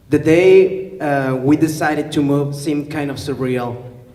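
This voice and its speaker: A man with a Spanish accent speaks at a fairly high pitch and a fairly slow pace. Audible room echo and noticeable background noise fill the recording. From Mexico, León, Guanajuato. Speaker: teacher. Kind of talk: public talk, partly read aloud. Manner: hesitant, many fillers.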